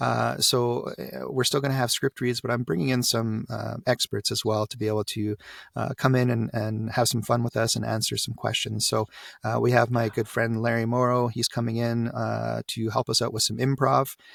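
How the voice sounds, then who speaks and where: A man with a Canadian accent talks at a moderate pace. The sound is dry and close, with no echo. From Canada. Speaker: voiceover coach. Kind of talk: podcast interview.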